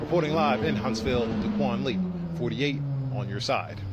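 A man talks at a fairly quick pace with lively intonation over loud background noise, the sound dry with no echo. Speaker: field reporter. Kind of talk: live news reporting. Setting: outdoors, live on location. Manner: formal, steady, authoritative. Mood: serious. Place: street. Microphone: lapel.

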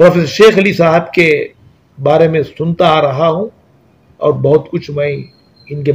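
A man speaks at a fairly slow pace. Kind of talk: interview answer, tribute to a deceased scholar. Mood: solemn, respectful condolence. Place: office.

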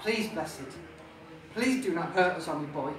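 Over light background noise and audible room echo, a man projects his raised voice at a moderate pace. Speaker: author. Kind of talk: live reading of own fantasy novel. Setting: pub, live audience. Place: bar. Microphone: camera far.

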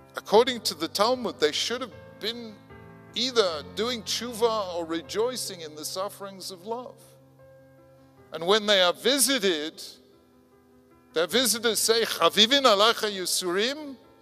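A raised, projected voice moves at a moderate pace with long, frequent pauses and big swings in loudness as faint music plays in the background. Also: man. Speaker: conference speaker. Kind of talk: lecture. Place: hall. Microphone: podium.

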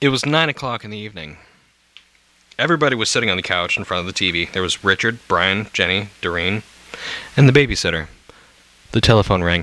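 With lively intonation, a man talks at a very fast pace. Long, frequent pauses break up his speech. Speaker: amateur storyteller reading while drinking. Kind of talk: drunken casual reading of scary stories with commentary.

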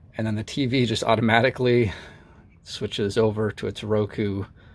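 A normal speaking voice from a man, fairly low-pitched, at a moderate pace with fairly even intonation. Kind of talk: tutorial. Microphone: phone near.

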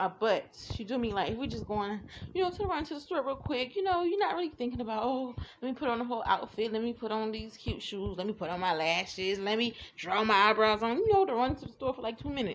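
At a very fast pace, a woman speaks with very wide swings in pitch. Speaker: vlogger. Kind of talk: casual vlog monologue. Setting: outdoors. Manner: rambling, filler-heavy.

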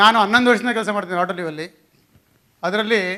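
A man projects a raised, high voice with a bright, sharp tone and fairly even intonation in a very clean recording with a silent background. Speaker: HR executive. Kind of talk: conference talk. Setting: stage with audience.

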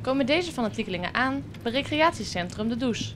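A woman's fairly high voice with lively intonation, music playing in the background. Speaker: local news reporter. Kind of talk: news reading.

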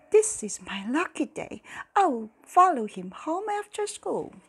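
A woman whispers in a put-on character voice. Her pace is fairly slow. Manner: whispering; gleeful, scheming.

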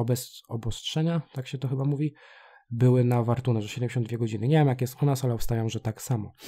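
A man talks at a very fast pace and a medium pitch. The recording is very clean, with a silent background. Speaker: gaming youtuber. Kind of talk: game tutorial. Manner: halting.

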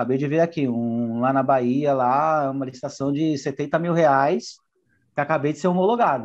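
The recording has a quiet background. Against it, a man's intonation is lively. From Guarulhos, São Paulo, Brazil; São Paulo, Brazil. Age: 30s. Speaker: business owner in public tenders, course student. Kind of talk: testimonial interview; interview answer. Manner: casual with frequent fillers. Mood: pleased, upbeat. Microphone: earbuds.

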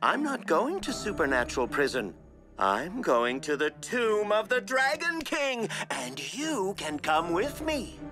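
A cartoonish character voice at a middle pitch moves at a fairly slow pace with very wide pitch swings. Clear music plays in the background. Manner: smooth, honeyed, manipulative.

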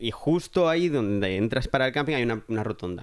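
Delivered at a fairly quick pace, it is a normal speaking voice with ordinary pitch variation. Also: man. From Catalonia, Spain (Alcarràs, near Lleida). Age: 30s. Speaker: film production worker. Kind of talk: casual chat.

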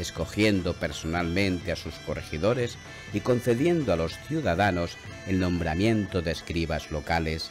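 Music plays in the background as a man with a very deep, low voice speaks at a moderate pace with ordinary pitch variation. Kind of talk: historical documentary narration. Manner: solemn, measured.

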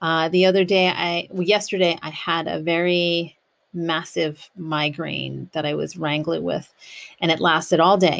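A woman talks with fairly low pitch. Her intonation stays flat and monotone. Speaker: podcast host. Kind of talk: reflective podcast monologue. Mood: calm, reflective. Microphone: studio mic.

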